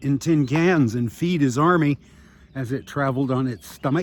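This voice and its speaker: Here a man with a normal speaking voice talks at a moderate pace with ordinary pitch variation. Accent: American. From US Midwest, Iowa City, Iowa. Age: 60s. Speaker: retired beachcomber vlogger. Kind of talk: casual vlog narration with mini-lecture. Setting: outdoors on a beach by bicycle. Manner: rambling with many fillers.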